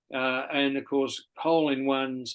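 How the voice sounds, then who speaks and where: A man's fairly high voice carries an Australian accent. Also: quiet background. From Australia, Sydney eastern suburbs. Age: 70s. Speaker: golf club volunteer and charity organiser. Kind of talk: interview.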